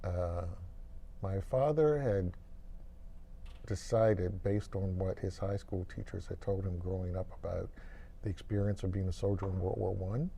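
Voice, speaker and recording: Speaking with an American accent, a man has a somewhat breathy, dark, mellow voice of fairly low pitch with ordinary variation, at a moderate pace with long, frequent pauses and audible room echo. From Washington, D.C., USA. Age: 60s. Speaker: economics professor. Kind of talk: interview, life story. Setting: filmed at an economics conference.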